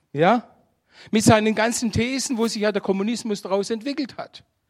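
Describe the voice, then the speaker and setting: A man speaks in a high-pitched voice. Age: 60s. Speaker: guest preacher. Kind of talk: sermon.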